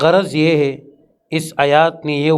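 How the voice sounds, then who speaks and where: A man with a normal speaking voice talks in a fairly high pitch with fairly even intonation. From Pashtun. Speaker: Islamic scholar. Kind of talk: religious lecture.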